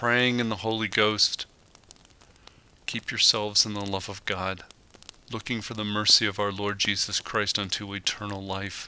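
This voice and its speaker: Against noticeable background noise, a man speaks at a moderate pace in a fairly low, monotone voice with flat intonation and long, frequent pauses. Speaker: handyman. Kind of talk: audio Bible reading.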